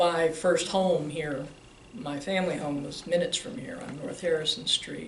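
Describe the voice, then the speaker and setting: An American accent at a moderate pace, with noticeable background noise. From Arlington, Virginia. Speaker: optician business owner. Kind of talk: oral history interview.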